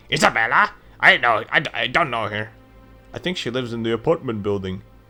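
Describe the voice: A put-on character voice, nasal and fairly quick, with faint music in the background. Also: man, medium pitch for a man.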